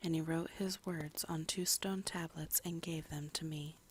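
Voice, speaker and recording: Soft-spoken and somewhat breathy, a woman holds a fairly low pitch and a monotone, flat intonation at a moderate pace. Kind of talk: Bible reading / ASMR. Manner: soft-spoken, relaxing.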